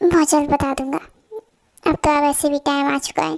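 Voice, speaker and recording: A woman puts on a character voice, high in pitch and monotone, with flat intonation. The sound is dry and close, with no echo. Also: moderate pace. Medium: audio drama. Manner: brisk, decisive.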